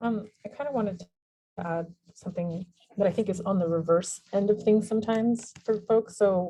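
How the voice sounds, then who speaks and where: A woman's somewhat breathy voice of medium pitch, dark and mellow in tone, with fairly even intonation at a moderate pace. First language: non-English language from childhood. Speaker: webinar attendee. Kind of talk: Q&A discussion on video call.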